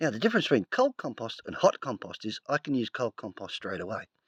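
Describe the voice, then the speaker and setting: A man with an Australian accent at a fairly quick pace, dry and close with no echo, over a quiet background. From Australia, rural. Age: 50s. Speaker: homesteader. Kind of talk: tutorial. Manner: casual, conversational.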